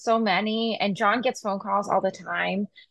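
In an American accent, a woman with an unremarkable speaking voice talks at a fairly slow pace and medium pitch. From Massachusetts, US. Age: 40s. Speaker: pharmacist. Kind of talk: casual interview.

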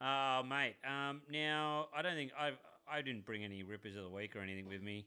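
Man with an Australian accent, medium pitch, a bright, sharp tone and lively intonation at a moderate pace. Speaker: podcast co-host, tradie. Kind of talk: casual chat.

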